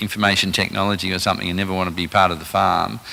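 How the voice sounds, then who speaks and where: A fairly low-pitched man with an Australian accent and monotone, flat intonation. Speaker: rural finance presenter. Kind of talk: presentation to a live audience. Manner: halting, many fillers.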